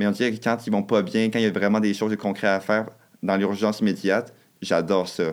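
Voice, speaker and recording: A man with a Quebec accent talks at a very fast pace. His pitch is fairly low and his intonation monotone and flat. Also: very clean recording, silent background. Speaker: nursing student. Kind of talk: casual chat.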